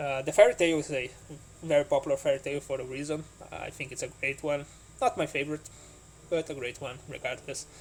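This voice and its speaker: A man at a very fast pace, broken by long, frequent pauses. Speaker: board game YouTuber. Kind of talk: solo video commentary. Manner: halting.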